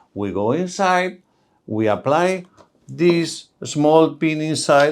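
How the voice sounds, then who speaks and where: Speaking with a Spanish accent, a man has a fairly high pitch. His pitch swings very widely. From Spain. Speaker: oral and maxillofacial surgeon. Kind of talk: medical explainer talk to camera.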